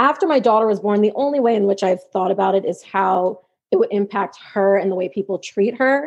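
The speaker has an ordinary speaking voice with an American accent. The pace is fairly quick, and the pitch varies in an ordinary way. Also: woman, medium pitch for a woman. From New York. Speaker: special education teaching assistant and grad student. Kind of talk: casual interview chat.

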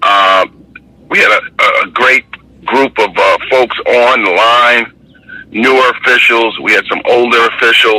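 Keeping his loudness very even, a man speaks at a fairly slow pace amid noticeable background noise. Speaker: basketball referee. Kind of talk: casual chat. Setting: outdoors.

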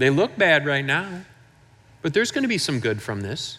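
With an American accent, a man speaks fairly slowly at a fairly high pitch, his pitch swinging very widely, and the room echo is audible. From Michigan. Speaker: pastor. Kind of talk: sermon.

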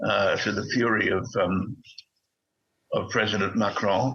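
A man talks with an Australian accent. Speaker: retired diplomat. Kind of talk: political interview. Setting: remote video call. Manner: halting, frequent repetitions.

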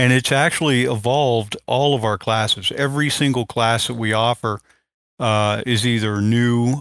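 A man speaks in an ordinary speaking voice at medium pitch and moderate pace, with fairly even intonation. The recording is very clean with a silent background and a dry, close sound with no echo. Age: 50s. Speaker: firearms instructor. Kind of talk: casual interview.

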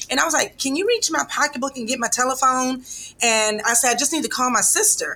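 A woman's raised, projected voice comes out high and bright with a sharp tone, at a very fast pace with ordinary pitch variation. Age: 50s. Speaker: breast cancer survivor and patient advocate. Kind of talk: interview testimony.

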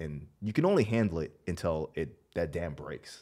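Using ordinary pitch variation, a man with an American accent speaks in a very deep, low pitch with a dark, mellow tone. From Washington, D.C., US. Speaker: army veteran, screenwriter and actor. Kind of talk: casual interview. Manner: hesitant, many fillers.

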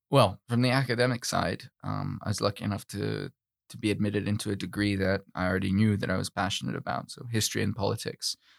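In a very clean recording with a silent background and a dry, close sound with no echo, a man with a fairly low pitch and vocal fry talks at a very fast pace with ordinary pitch variation. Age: 20s. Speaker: student and church external affairs secretary. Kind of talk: interview. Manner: halting.

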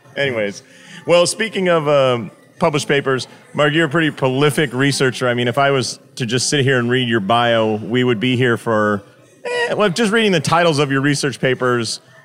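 A man talks in an ordinary speaking voice at a medium pitch and a fairly quick pace. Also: lively intonation, very even loudness. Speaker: podcast host, chiropractor. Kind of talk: interview.

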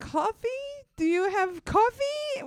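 A woman does a squeaky put-on character voice with a non-native accent at an extremely high pitch. Her pitch swings very widely, and the sound is dry and close with no echo. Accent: weird foreign. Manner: halting, unsure.

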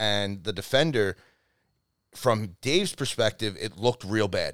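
On a very clean recording with a silent background, a man speaks in a normal speaking voice at a fairly low pitch and moderate pace. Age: 30s. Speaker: rugby coach and flag football player. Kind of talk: casual chat.

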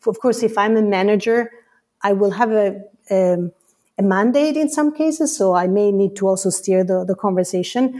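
The speaker has a dark, mellow tone and an Italian accent, with ordinary pitch variation. The pace is moderate, and the recording is very clean with a silent background. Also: woman, medium pitch for a woman. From Italy. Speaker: customer education leader. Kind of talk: casual interview chat.

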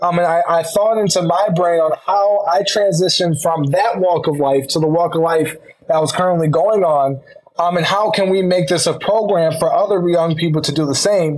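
With an American accent, a man speaks at a moderate pace in a high pitch, his loudness very even and his intonation fairly even, over noticeable background noise. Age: 19. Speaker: school board member and student. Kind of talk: interview. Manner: halting.

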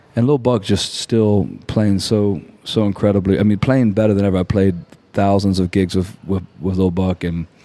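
Dark and mellow in tone, a man speaks at a fairly low pitch with very even loudness and fairly even intonation. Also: moderate pace. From southwest Louisiana, Lafayette. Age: 40s. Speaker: musician. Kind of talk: casual chat. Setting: studio.

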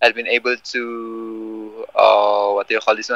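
This man has a Filipino accent and a bright, sharp tone at medium pitch. He speaks at a very slow pace, and the sound is dry and close with no echo. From Philippines. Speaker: MMA fighter. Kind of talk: casual interview. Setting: phone call. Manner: halting.

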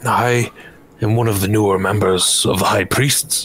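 A man's put-on character voice, fairly low and fairly slow, against clear background noise. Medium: actual play. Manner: formal, courteous, earnest.

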